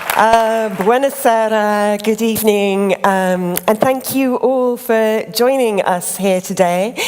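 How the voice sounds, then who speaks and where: With hardly any pauses, a woman speaks at a very slow pace in a fairly high pitch with fairly even intonation. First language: English (speaking Italian). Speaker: creative director of a craft organisation. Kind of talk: lecture.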